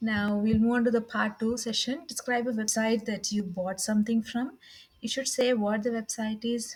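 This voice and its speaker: A woman with a South Indian accent speaks at a moderate pace, somewhat breathy and with fairly even intonation. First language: Tamil. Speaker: IELTS test practitioner. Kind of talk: practice speaking test. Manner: halting.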